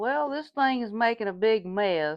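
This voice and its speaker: The speaker has a Southern US accent. The intonation is lively. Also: woman. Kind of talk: casual cooking demonstration to camera.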